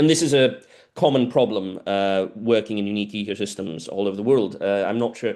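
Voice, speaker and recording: Delivered fairly quickly, the speech carries ordinary pitch variation. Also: man, fairly low pitch for a man. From South America. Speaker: biologist. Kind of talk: lecture Q&A. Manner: hesitant, many fillers and repetitions.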